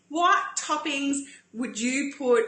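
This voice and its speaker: A woman at a fairly slow pace with ordinary pitch variation and audible room echo. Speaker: paleo cooking show host. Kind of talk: live-stream cooking demo. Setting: Facebook live stream. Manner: chatty, animated.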